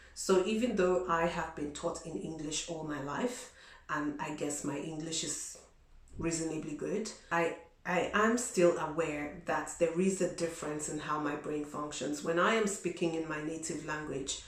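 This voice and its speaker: A woman talks at a moderate pace. Both audible room echo and noticeable background noise are present. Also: fairly low pitch for a woman, ordinary pitch variation. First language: not English. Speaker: vlogger. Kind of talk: advice vlog. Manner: conversational, many fillers.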